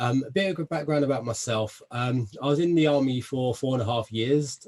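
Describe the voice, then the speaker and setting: A man with a South London accent. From south London, England. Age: 30s. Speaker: army veteran and personal development guest. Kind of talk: interview self-introduction.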